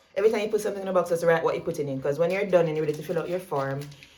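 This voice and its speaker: A woman with a Jamaican accent talks at a medium pitch with fairly even intonation. Noticeable background noise can be heard. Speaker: vlogger. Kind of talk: tutorial. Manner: fast; casual.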